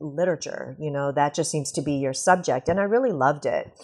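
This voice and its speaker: A woman with a Canadian accent speaks in a normal speaking voice at a fairly low pitch. Her pace is moderate, and the background is quiet. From Canada. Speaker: sociology professor and author. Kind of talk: interview.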